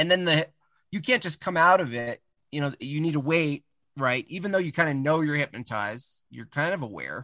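A man with an American accent speaks at a fairly quick pace in a fairly high pitch, his bright, sharp tone showing ordinary pitch variation, recorded dry and close with no echo over a quiet background. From US Northeast, Catskill Mountains of New York. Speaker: cartoonist. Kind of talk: casual chat.

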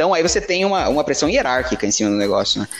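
A man's fairly high voice swings very widely in pitch while noticeable background noise fills the recording. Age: 20s. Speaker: project manager. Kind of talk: casual chat.

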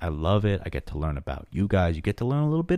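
An animated man speaks with an American accent. His pitch swings very widely, and the recording is very clean with a silent background. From Long Island, New York. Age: 20s. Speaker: YouTube animation creator and podcaster. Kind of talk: casual solo monologue, rambling chat. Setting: home, headphones on. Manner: animated, jokey, filler-heavy.

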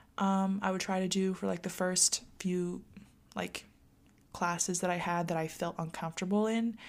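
In a very clean recording with a silent background, a woman speaks with very even loudness and a monotone, flat intonation. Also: medium pitch for a woman, moderate pace. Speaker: college student vlogger. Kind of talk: casual advice monologue to viewers. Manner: chatty with frequent fillers.

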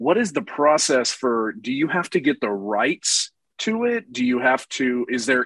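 With a Texan accent and lively intonation, a man talks at a medium pitch, the sound dry and close with no echo and a quiet background. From Texas. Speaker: YouTuber. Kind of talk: casual chat.

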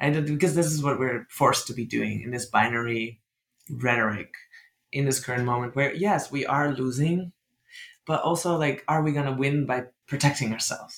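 A man with a Dutch accent, medium pitch, ordinary pitch variation and a moderate pace. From Netherlands. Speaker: author and writer.

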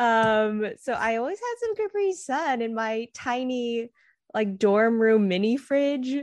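A woman speaks with an American accent at a very slow pace. Her pitch is fairly high. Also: ordinary pitch variation. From California, US. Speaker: novelist. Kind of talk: interview.

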